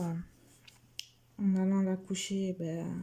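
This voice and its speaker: A soft-spoken woman talks with monotone, flat intonation. Her voice is somewhat breathy, with a dark, mellow tone. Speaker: vlogger mother of a baby. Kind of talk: casual vlog chat while colouring. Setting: at home. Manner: hesitant, many fillers.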